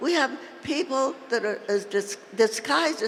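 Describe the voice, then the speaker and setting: A woman speaks in a high pitch with very wide pitch swings. Noticeable background noise can be heard. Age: 80s+. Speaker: labor and civil rights leader. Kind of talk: political speech to convention. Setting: convention stage, PA system.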